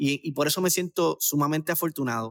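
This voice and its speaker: Recorded dry and close with no echo, a man speaks at a fairly high pitch with ordinary pitch variation in an unremarkable speaking voice. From Puerto Rico, Aguadilla. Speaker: brand marketing expert. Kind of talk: interview. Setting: video call.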